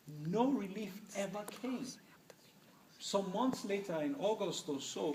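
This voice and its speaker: At a fairly slow pace, a man with a high pitch and ordinary pitch variation speaks over noticeable background noise. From Nigeria, Middle Belt. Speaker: human rights advocate. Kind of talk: public talk Q&A. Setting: university event with audience.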